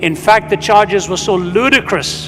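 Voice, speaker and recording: A man's high-pitched voice at a moderate pace, with fairly even intonation over noticeable background noise. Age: 70s. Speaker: itinerant preacher. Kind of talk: sermon.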